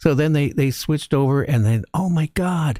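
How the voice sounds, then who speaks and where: A man's dark, mellow tone with an American accent at a fairly quick pace, on a very clean recording with a silent background. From US Pacific Northwest, Seattle. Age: 70s. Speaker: talk radio host. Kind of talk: radio interview.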